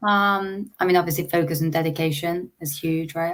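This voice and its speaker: Here a woman speaks with an English accent and a fairly low pitch. The recording is very clean with a silent background. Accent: English accent, noticeable. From England. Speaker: startup founder and CEO. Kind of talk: interview.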